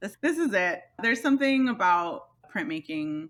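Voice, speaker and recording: Loud and bright with a sharp edge, a woman talks at a moderate pace with lively intonation on a very clean recording with a silent background. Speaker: master printer and print publisher. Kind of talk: interview.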